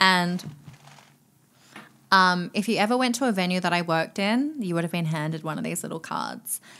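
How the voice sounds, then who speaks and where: A woman's fairly low voice with an Australian accent, bright and sharp in tone, at a moderate pace with ordinary pitch variation and long, frequent pauses. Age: 20s. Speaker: nightclub promoter and DJ. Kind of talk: casual chat.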